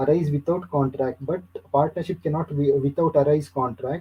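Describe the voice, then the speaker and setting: A man with an Indian accent speaks at a fairly high pitch and a moderate pace. His intonation is fairly even and his voice somewhat breathy. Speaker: university lecturer. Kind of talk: lecture. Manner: halting.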